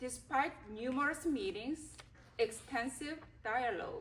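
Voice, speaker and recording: A woman's very slow delivery with vocal fry and ordinary pitch variation. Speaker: school board president. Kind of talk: reading aloud a prepared statement. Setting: public board meeting. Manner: formal.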